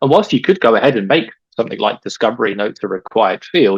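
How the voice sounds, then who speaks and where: A man speaks at medium pitch with an English accent, his intonation lively. The pace is fairly quick and the sound is dry and close, with no echo. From England. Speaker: data expert, webinar presenter. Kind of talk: webinar presentation.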